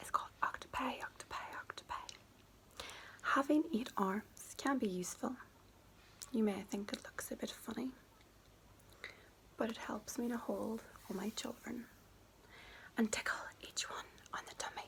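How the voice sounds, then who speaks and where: Whispering with a Northern Irish accent, a woman moves at a moderate pace with long, frequent pauses and big swings in loudness. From Northern Ireland. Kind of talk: children's book reading. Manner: soft-spoken.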